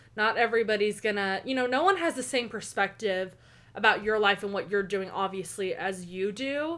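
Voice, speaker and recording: With an Oklahoma accent, a woman sounds animated, her tone bright and sharp at a medium pitch with ordinary pitch variation. She keeps a moderate pace on a very clean recording with a silent background. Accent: Oklahoma American English. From US South. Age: 20s. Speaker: college student. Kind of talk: casual chat.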